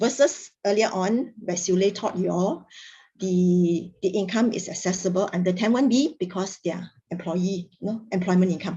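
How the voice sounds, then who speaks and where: Here a woman talks with ordinary pitch variation. She sounds somewhat breathy. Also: medium pitch for a woman, moderate pace. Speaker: tax trainer. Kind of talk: lecture.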